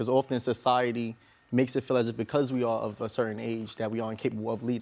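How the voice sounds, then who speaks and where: Speaking very fast, a man with a Brooklyn accent holds a medium pitch. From Brooklyn, New York. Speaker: motivational speaker. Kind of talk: tv interview.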